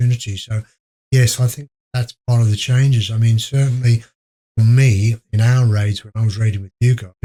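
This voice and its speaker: A quiet man talks at a fairly quick pace in a dark, mellow, somewhat breathy tone, his intonation monotone and flat while his loudness swings widely. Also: dry, close sound with no echo. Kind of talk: podcast interview answer. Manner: very quiet.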